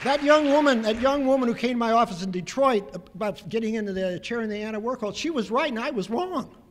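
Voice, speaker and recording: A man talks at a very fast pace with hardly any pauses, his pitch extremely high and his intonation lively. Noticeable background noise runs under his voice. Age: 70s. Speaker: lawyer and activist. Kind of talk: award acceptance speech. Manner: impassioned.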